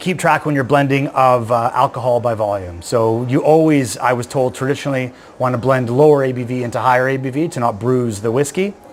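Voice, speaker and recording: Over noticeable background noise, a man with a Canadian accent speaks at a very fast pace. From Canada. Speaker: whisky blender. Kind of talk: tutorial. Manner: animated.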